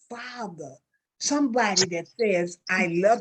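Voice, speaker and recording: Somewhat breathy, a woman speaks at a very slow pace with lively intonation. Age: 60s. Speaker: talk show host. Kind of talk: emotional interview talk.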